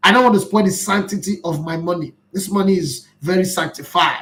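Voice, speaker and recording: Speaking at a moderate pace, a high-pitched man with a Nigerian accent has an animated tone. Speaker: football commentator. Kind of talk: live stream chat reading viewer comments.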